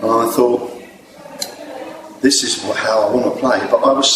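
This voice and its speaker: A man's voice is heard in a room with audible echo. Noticeable background noise runs beneath it. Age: 60s. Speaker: jazz saxophone player. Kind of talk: interview. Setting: venue before a gig.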